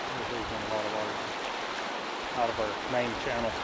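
Loud background noise fills the clip. A man talks over it at a fairly quick pace. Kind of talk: commentary. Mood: concerned, matter-of-fact. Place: waterside. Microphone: old recording.

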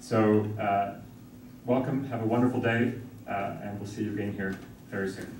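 A man talks at a fairly quick pace in a monotone, flat delivery. There is light background noise and audible room echo. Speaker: law school dean. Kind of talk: welcome address. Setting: conference room with audience. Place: classroom. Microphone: camera far.

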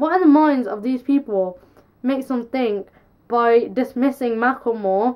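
In a high pitch, a woman speaks at a moderate pace with ordinary pitch variation. The background is quiet. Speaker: vlogger. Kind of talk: casual vlog chat, opinion. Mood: frustrated, passionate. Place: home room. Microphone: camera far.

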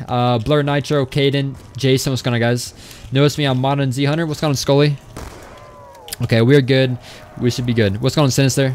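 With an American accent, a man speaks at a medium pitch and a fairly quick pace, taking long, frequent pauses over noticeable background noise. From Florida. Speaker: gaming streamer. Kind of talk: casual live stream chat. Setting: live stream. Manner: fast talker; excitable.

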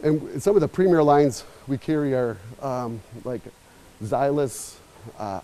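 A man talks with ordinary pitch variation. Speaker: store owner host. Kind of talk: store tour commentary. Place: shop. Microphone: lapel.

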